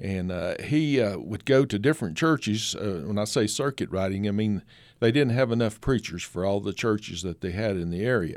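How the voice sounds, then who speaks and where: In an Appalachian accent, a man talks at a fairly low pitch with ordinary pitch variation and a moderate pace. The recording is very clean, with a silent background. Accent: Appalachian Southern US. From East Tennessee (Kingsport). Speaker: photographer and author. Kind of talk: radio interview.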